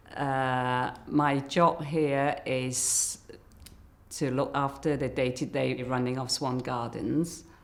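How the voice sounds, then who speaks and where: Against noticeable background noise, the speaker talks very slowly in a monotone, flat intonation. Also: woman, very deep, low pitch for a woman. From Hong Kong, then London. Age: 50s. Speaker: care home project officer. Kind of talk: documentary interview.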